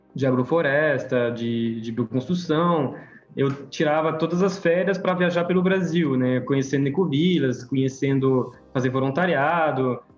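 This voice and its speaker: Over music in the background, a man talks at a fairly slow pace and fairly high pitch with ordinary pitch variation. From France. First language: French (speaking Portuguese). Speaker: permaculture course teacher. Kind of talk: online class presentation.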